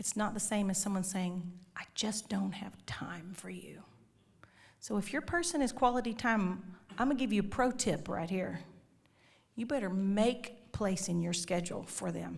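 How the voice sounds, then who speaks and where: A woman speaks at a moderate pace and medium pitch with vocal fry, an animated tone and ordinary pitch variation, with audible room echo around her. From Texas. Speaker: conference speaker. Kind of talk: marriage talk to church audience. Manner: animated, humorous.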